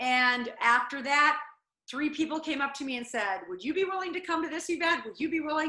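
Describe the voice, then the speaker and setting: Raised and projected, a woman's high-pitched voice rings bright and sharp with lively intonation. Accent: American. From US Midwest (South Dakota, small town). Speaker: motivational speaker and former reality show contestant. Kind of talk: interview.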